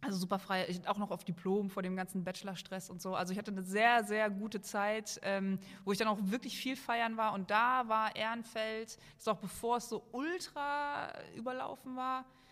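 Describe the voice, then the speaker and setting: An ordinary speaking voice from a woman, fairly high in pitch, at a moderate pace with ordinary pitch variation. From western Germany, Oberbergisches Land near Cologne. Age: 30s. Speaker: maker and video creator. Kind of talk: casual chat.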